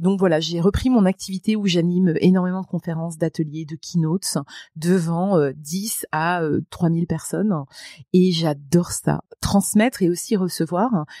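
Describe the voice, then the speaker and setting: A woman's fairly low-pitched voice, dark and mellow in tone, at a fairly slow pace with fairly even intonation, in a dry, close sound with no echo. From France, Moselle. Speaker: public speaker and trainer. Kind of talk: podcast interview.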